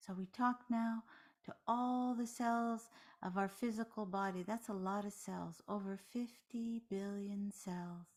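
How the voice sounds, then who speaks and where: A woman speaks very slowly, with long, frequent pauses. Her voice is somewhat breathy. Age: 60s. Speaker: meditation teacher. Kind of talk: guided meditation. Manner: soft-spoken.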